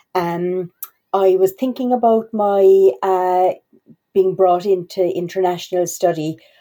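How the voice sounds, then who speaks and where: In an Irish accent, a woman talks fairly slowly at a medium pitch, with fairly even intonation and very even loudness. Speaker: university international office staff. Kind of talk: podcast interview. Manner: halting, many fillers.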